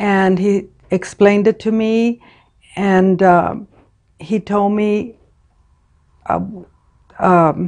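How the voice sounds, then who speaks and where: A woman's medium-pitched, monotone, flat delivery at a very slow pace, with long, frequent pauses. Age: 60s. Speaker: patient. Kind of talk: interview testimony. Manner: halting.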